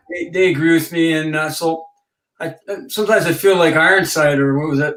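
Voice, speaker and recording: A high-pitched man's voice, fairly quick, with fairly even intonation. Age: 50s. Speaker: former hockey player and author. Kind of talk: casual chat.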